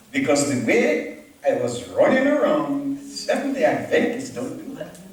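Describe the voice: A man at a fairly high pitch and fairly slow pace, making very wide pitch swings, with strong room echo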